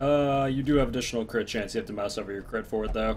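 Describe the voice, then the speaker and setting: Over music in the background, a man talks at a very fast pace with ordinary pitch variation. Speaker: video game streamer. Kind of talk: live gameplay commentary. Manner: casual, talking to chat.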